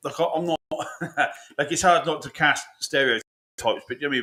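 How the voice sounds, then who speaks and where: A man with an English accent, bright, sharp tone and very fast pace. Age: 40s. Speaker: podcast co-host. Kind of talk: casual chat.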